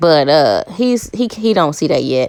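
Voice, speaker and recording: This woman's voice sits fairly low in pitch. She speaks at a fairly quick pace. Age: 40s. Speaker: YouTuber. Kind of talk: casual vlog monologue. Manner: fast.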